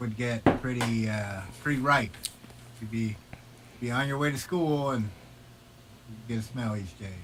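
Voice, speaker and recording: With noticeable background noise and audible room echo, a man with an American accent speaks at a medium pitch and a moderate pace, using ordinary pitch variation and long, frequent pauses. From Iowa, Des Moines. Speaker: motorcyclist. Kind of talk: casual chat.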